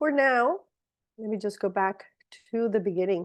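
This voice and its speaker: With a Spanish accent, a woman speaks at a moderate pace in a medium pitch, her intonation lively. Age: 50s. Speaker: supplement presenter. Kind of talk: product presentation. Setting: video call. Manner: halting.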